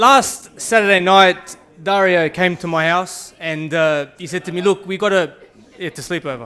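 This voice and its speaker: With an Australian accent, a man speaks at a high pitch with ordinary pitch variation. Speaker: best man. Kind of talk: wedding speech.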